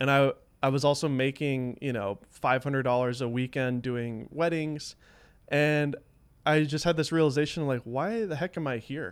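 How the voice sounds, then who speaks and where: With an American accent and an unremarkable speaking voice, a man talks at a moderate pace in a fairly high pitch with ordinary pitch variation, on a very clean recording with a silent background. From US South. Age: 30s. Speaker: filmmaker and former magician. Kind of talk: casual chat.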